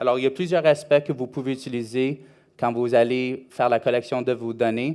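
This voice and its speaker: Intonation stays fairly even as a man talks. He holds a moderate pace. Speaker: conference speaker on rental marketing. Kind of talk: conference presentation. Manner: halting, many hesitations.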